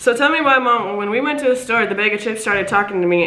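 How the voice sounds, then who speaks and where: Amid audible room echo, a woman talks very fast with ordinary pitch variation. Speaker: prank caller vlogger. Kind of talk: casual vlog chat. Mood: playful, suppressing laughter. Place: home room. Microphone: camera far.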